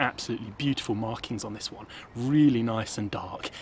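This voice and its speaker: Fairly quick speech with ordinary pitch variation, a dry sound with no echo and light background noise. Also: man. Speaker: angler vlogger. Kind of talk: casual vlog chat. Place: waterside. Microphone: phone near.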